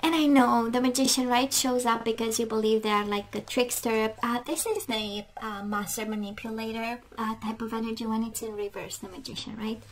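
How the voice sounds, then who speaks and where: Noticeable background noise sits behind a woman speaking at a fairly quick pace. Her voice is fairly high, with fairly even intonation. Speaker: tarot reader. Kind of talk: tarot reading video. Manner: halting, with many filler words.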